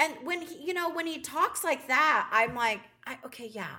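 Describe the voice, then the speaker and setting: Projecting a raised voice, a woman speaks at a moderate pace with a bright, sharp, animated tone and lively intonation. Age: 40s. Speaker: podcast co-host. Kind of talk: casual chat.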